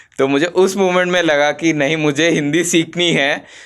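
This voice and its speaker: A man speaks with a Telangana accent. The recording is very clean, with a silent background. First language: Telugu (speaking Hindi). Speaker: startup founder. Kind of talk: interview. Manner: hesitant, many fillers.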